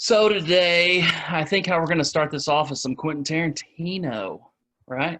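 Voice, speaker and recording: A man with a Midwestern accent, high-pitched, with ordinary pitch variation at a moderate pace. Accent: Midwestern rural. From US Midwest, Indiana. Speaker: podcast co-host. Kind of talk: casual chat.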